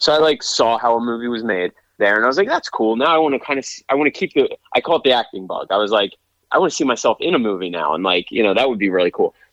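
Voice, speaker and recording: The sound is dry and close with no echo. A man with an American accent and a medium pitch talks at a very fast pace. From Pennsylvania. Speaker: real estate agent and actor. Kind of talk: casual interview chat.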